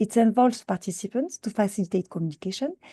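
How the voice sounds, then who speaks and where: Speaking with a French accent, the voice has a dark, mellow tone that is somewhat breathy, with ordinary pitch variation and a dry, close sound with no echo against a quiet background. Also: woman. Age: old. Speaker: scientist and mentor. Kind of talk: conference presentation. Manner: fast; halting, many fillers and repetitions.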